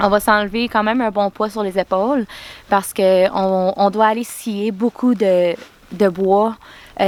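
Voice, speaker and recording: The delivery is monotone with flat intonation at a moderate pace. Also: woman. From Quebec. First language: English (speaking French). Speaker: hobby farmer and vlogger. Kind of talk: casual vlog talk. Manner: halting with many fillers.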